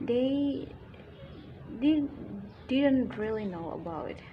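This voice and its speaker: Lively intonation marks a woman's voice, heard with audible room echo. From Indonesia. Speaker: YouTuber. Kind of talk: casual vlog talk. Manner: halting, self-correcting.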